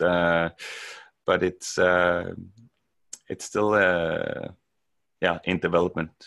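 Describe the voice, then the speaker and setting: A man's very deep, low voice with a Danish accent, very slow and monotone, flat in intonation. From Denmark. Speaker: software developer. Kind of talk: podcast interview. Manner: hesitant, many fillers.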